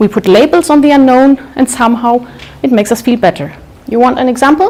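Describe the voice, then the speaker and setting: This woman has a high voice and a German accent, with ordinary pitch variation. She talks at a fairly quick pace, her loudness very even. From Germany, Munich. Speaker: public speaker. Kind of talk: talk to live audience.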